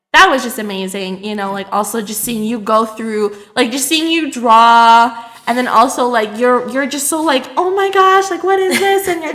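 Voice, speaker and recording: Over noticeable background noise and audible room echo, a woman speaks at a high pitch with very wide pitch swings. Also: moderate pace. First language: Hmong. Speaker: podcast co-host. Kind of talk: casual chat. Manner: many fillers, hesitant.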